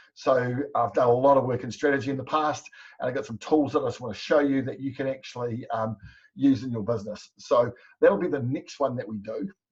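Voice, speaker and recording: This man talks at a fairly quick pace with a New Zealand accent. His voice is somewhat breathy. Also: medium pitch for a man, ordinary pitch variation. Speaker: business coach. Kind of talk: webinar presentation. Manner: fast.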